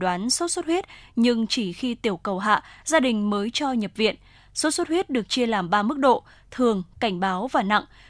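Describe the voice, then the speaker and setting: A woman uses an ordinary speaking voice, fairly high in pitch with lively intonation, on a very clean recording with a silent background. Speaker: radio presenter. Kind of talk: news reading. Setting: studio.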